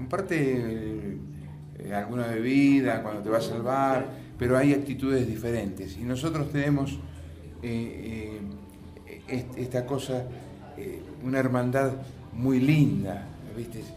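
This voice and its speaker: With music in the background and audible room echo, a man at a medium pitch speaks at a very slow pace, leaving long, frequent pauses, with ordinary pitch variation. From Argentina, La Plata. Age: 60s. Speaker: musician. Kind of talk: interview. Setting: auditorium. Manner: halting.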